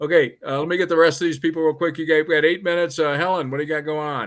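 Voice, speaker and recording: A man with an American accent, fairly high in pitch, at a very fast pace over a quiet background. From Colorado. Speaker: meeting host. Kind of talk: casual meeting moderation.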